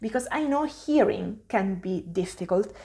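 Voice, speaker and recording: Speaking in an Italian accent, a woman uses a medium pitch and a moderate pace. Vocal fry runs through her voice. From Italy. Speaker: language teacher. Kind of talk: tutorial. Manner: hesitant with fillers.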